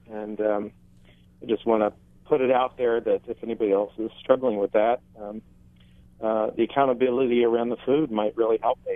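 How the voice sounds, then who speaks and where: At a fairly quick pace, a man speaks in a medium-pitched, flat, monotone voice. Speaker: caller with diabetes. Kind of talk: call-in question. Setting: phone call. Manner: halting.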